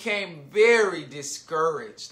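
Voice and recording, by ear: A passage read aloud in a natural voice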